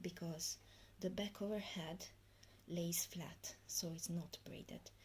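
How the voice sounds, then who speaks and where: A woman speaks at a very slow pace and fairly low pitch in a dark, mellow tone. Vocal fry runs through her voice. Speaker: hair tutorial youtuber. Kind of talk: tutorial. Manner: halting, many fillers.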